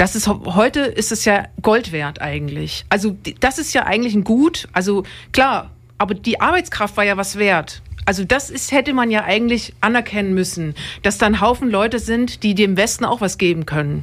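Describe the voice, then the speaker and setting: With vocal fry and lively intonation, a woman speaks at a moderate pace in a medium-pitched voice. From Dresden, Saxony. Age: young. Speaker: radio podcast host. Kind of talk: casual radio discussion. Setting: radio studio.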